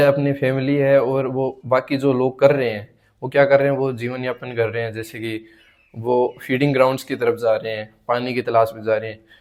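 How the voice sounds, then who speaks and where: A man at a medium pitch speaks at a moderate pace, his intonation fairly even but his loudness swinging widely. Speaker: vlogger. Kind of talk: casual monologue to camera. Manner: halting, repeats words.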